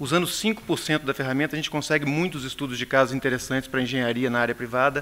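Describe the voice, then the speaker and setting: A man with a Brazilian accent talks at a very fast pace. His pitch is medium and his intonation fairly even. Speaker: pavement engineer. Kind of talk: conference presentation. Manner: hesitant, many fillers.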